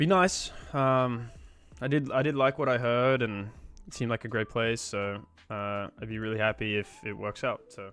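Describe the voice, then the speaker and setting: Medium in pitch with ordinary pitch variation, a man talks in an Australian accent. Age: 20s. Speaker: programming streamer. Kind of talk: casual live-stream chat while coding. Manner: casual, filler-heavy.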